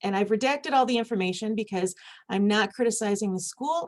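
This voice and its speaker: A woman with a Michigan accent speaks at a medium pitch. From US Midwest, Michigan. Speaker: conference speaker, university administrator. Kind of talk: conference presentation.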